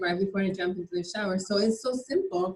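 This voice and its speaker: With fairly even intonation, a woman speaks at a medium pitch. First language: not English. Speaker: mastermind group participant. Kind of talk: group discussion.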